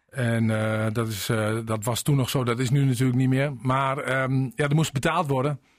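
With an unremarkable speaking voice, a man speaks at a moderate pace and medium pitch, his intonation fairly even and his loudness very even. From Drenthe. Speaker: mayor. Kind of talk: radio interview.

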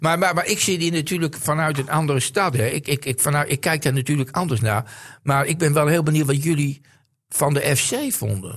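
A man speaks at a fairly quick pace in a somewhat breathy voice with ordinary pitch variation. His loudness stays very even against a quiet background. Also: fairly high pitch for a man. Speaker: football pundit. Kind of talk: casual chat. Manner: halting.

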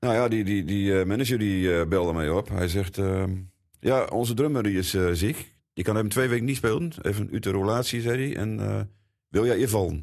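A man talks at a moderate pace in a fairly low pitch. His loudness stays very even, and his pitch varies in an ordinary way. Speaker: drummer. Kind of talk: interview.

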